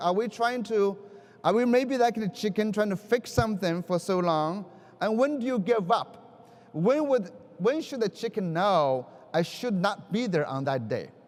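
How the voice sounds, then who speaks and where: A man speaks with a Chinese accent in a high pitch. His intonation is lively and his pace moderate. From China. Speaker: education keynote speaker. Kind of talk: conference keynote speech. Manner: halting.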